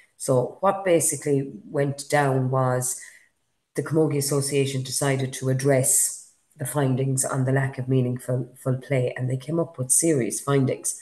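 A woman's very deep, low voice, somewhat breathy and dark and mellow, with fairly even intonation at a moderate pace. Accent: Irish. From Galway, Ireland. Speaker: podcast host. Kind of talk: casual chat. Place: home room. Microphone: webcam.

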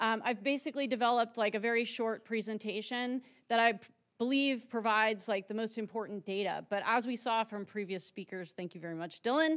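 A woman speaks in a normal speaking voice, fairly high in pitch with ordinary variation. She moves at a fairly quick pace against a quiet background. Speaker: geography professor. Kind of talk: conference talk. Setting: stage with audience. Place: hall. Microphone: podium.

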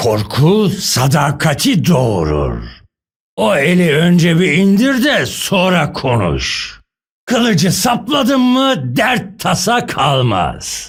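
A man does a put-on character voice, high in pitch, at a very slow pace with very wide pitch swings. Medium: dub. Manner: menacing, gruff.

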